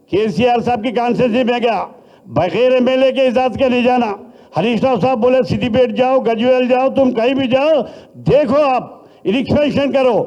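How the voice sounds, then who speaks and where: Room echo is audible around a man's extremely high voice, dark and mellow in tone. His loudness stays very even, with ordinary pitch variation. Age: 70s. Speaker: politician. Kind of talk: political speech. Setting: party meeting hall.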